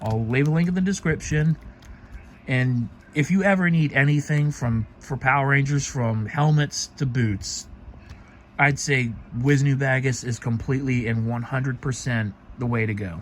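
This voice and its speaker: Somewhat breathy, a man talks at a moderate pace and medium pitch with ordinary pitch variation. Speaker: cosplay hobbyist vlogger. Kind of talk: casual product showcase vlog. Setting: late night at home, recording himself. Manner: halting, with stutters and pauses.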